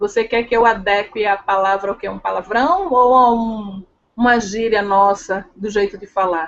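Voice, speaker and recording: With a strong northeastern Brazilian accent, a woman at medium pitch speaks at a moderate pace with fairly even intonation and big swings in loudness. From Brazil, Pernambuco (Northeast). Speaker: leadership and sales trainer. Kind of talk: interview chat.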